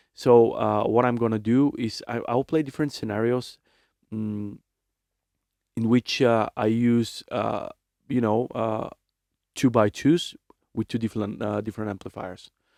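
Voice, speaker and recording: A man's dark, mellow voice at a fairly slow pace with fairly even intonation and long, frequent pauses, dry and close with no echo, in a very clean recording with a silent background. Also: medium pitch for a man. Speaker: musician and producer. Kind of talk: tutorial. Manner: halting, many fillers.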